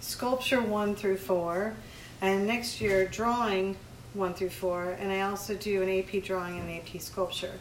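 Here is a woman with an unremarkable speaking voice at a medium pitch. She talks at a fairly slow pace with fairly even intonation. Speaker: art teacher. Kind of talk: casual chat.

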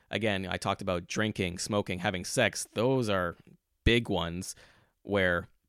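A normal speaking voice with a Canadian accent and fairly even intonation, dry and close with no echo, in a very clean recording with a silent background. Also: man. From Montreal, Quebec. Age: 30s. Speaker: podcast host. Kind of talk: casual monologue. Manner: conversational.

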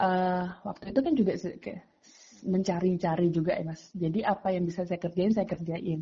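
A woman's somewhat breathy voice at medium pitch, with fairly even intonation. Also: moderate pace. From Magetan, East Java, Indonesia. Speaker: education nonprofit co-founder. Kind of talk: casual interview.

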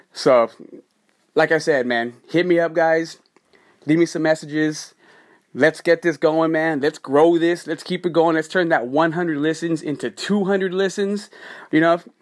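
Recorded very cleanly against a silent background, a man with a plain, everyday voice speaks at a moderate pace with fairly even intonation. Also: fairly high pitch for a man. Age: 40s. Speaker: podcast host. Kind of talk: solo podcast monologue. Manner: casual, repetitive with false starts.

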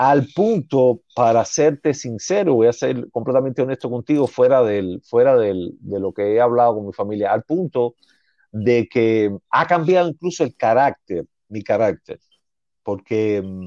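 Dry and close with no echo, a man's dark, mellow voice moves at a fairly slow pace with lively intonation. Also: medium pitch for a man. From Cuba, Havana (Centro Habana). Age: 40s. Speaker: teacher, Cuban immigrant. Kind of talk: interview, life story. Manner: halting, many restarts and fillers.

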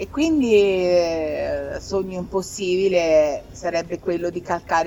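A woman talks with a fairly low pitch in an ordinary speaking voice. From Tuscany. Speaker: rock singer and keyboardist. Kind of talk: casual chat. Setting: live event venue.

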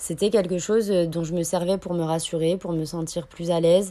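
A woman's fairly low, dark, mellow voice, flat and monotone at a moderate pace, on a very clean recording with a silent background. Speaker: podcast host. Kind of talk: personal monologue.

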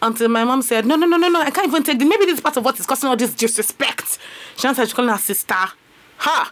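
Over noticeable background noise, a woman with a high pitch talks very fast in an animated tone, her loudness very even. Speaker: radio host. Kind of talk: radio talk show with call-ins. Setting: radio studio.

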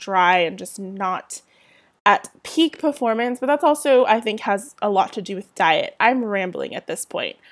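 A woman with a Southern California accent speaks at a moderate pace in a very clean recording with a silent background. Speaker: podcast host and blogger. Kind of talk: casual solo chat. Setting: home recording with a poor mic. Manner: chatty, with fillers and laughs.

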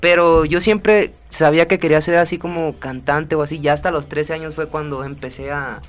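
In an ordinary speaking voice, a man with a fairly high pitch and fairly even intonation speaks at a moderate pace with hardly any pauses, recorded very cleanly over a silent background. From Ciudad Obregón, Sonora, Mexico. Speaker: urban music singer. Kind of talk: radio interview.

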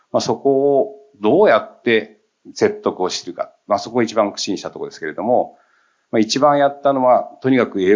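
A man is speaking here. His pace is moderate. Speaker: company CEO. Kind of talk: panel discussion.

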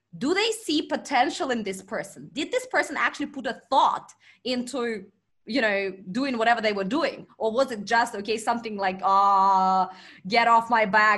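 A woman with a Russian accent speaks at a moderate pace in a fairly high voice with a bright, sharp tone, on a very clean recording with a silent background. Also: ordinary pitch variation. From Russian Far East. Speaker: marketing expert and company founder. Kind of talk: interview.

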